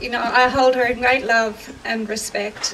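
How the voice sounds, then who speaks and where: With an Australian accent, a woman speaks at a high pitch and a moderate pace in a monotone, flat intonation over noticeable background noise. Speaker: actor. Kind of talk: public speech at outdoor rally. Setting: outdoors. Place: open country.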